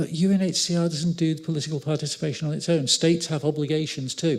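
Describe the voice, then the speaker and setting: A somewhat breathy man with a fairly high pitch at a very fast pace, on a very clean recording with a silent background. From northern England, Liverpool. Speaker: law professor. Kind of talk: lecture. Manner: animated.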